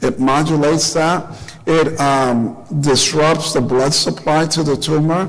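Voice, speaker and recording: A man speaks at a fairly slow pace in a fairly high pitch, with fairly even intonation and very even loudness. Audible room echo and noticeable background noise are present. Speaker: doctor. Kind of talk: lecture.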